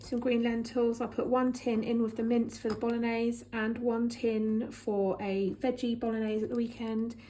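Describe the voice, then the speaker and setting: A woman speaks fairly high with a dark, mellow tone, monotone, flat intonation and very even loudness at a moderate pace. She hardly pauses, and audible room echo surrounds her. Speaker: vlogger. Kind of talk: casual chat.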